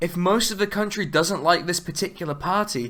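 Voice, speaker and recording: A man's raised, projected voice, bright and sharp in tone, at a fairly quick pace with ordinary pitch variation, on a very clean recording with a silent background. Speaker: political video essayist. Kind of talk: video essay narration. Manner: casual, sarcastic.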